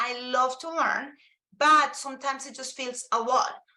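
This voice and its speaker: In a raised, projected voice, a woman speaks at a moderate pace with a high pitch, a bright, sharp tone and ordinary pitch variation. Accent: Spanish. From Colombia. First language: Spanish. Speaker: Spanish teacher and presenter. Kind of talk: live webinar presentation.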